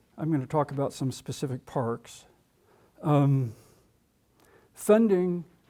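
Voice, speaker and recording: A dark, mellow tone moves at a moderate pace with ordinary pitch variation. The recording is very clean, with a silent background. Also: man. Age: 80s. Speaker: retired state parks official. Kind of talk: public talk. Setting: room with live audience. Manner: halting.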